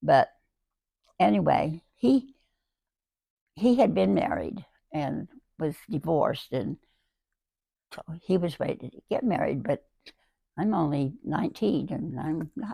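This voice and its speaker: A woman speaks at a fairly low pitch and a fairly slow pace, with vocal fry, very wide pitch swings and big swings in loudness. Her long, frequent pauses come through in a dry, close sound with no echo. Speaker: great-grandmother sharing life stories. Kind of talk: casual interview about memories. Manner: halting, with repetitions and fillers.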